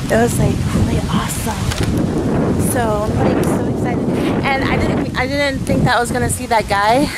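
A woman speaks at a fairly slow pace, the sound dry with no echo, over loud background noise. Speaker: vlogger. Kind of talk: casual vlog chat. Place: open country. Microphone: phone near.

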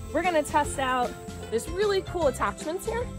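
Clear music plays behind a woman talking at a fairly quick pace. The sound is dry, with no echo. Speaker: kids science show host. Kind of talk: upbeat presenter talk to camera. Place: garden. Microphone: lapel.

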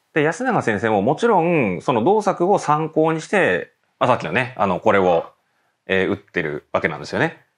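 Against a quiet background, a man's fairly high voice shows vocal fry and very wide pitch swings at a moderate pace. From Japan, Nagano. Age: 30s. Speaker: professional go player and teacher. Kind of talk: tutorial. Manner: filler-heavy conversational.

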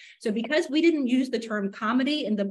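A woman talks at a fairly quick pace with lively intonation. Her voice is somewhat breathy. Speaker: appellate lawyer for an anonymous appellant. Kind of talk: courtroom oratory, impassioned appellate advocacy. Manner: earnest, forceful. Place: hall.

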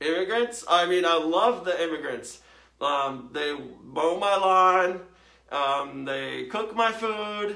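A man's put-on character voice, high-pitched and bright, sharp in tone, with lively intonation at a slow pace

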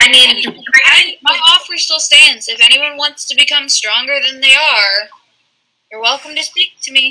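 In a put-on character voice with a high pitch, the speaker moves at a moderate pace, leaving long, frequent pauses. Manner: sly, tempting, condescending.

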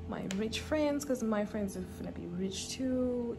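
Clear music plays in the background. A woman speaks over it with ordinary pitch variation. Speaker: vlogger. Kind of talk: casual vlog chat. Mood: relaxed, amused. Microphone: phone near.

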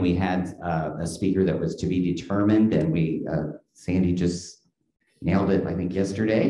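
The man's pitch is very deep and low, and he speaks at a fairly slow pace. Audible room echo fills the recording. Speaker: event host. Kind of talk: event introduction and announcements. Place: classroom. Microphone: podium.

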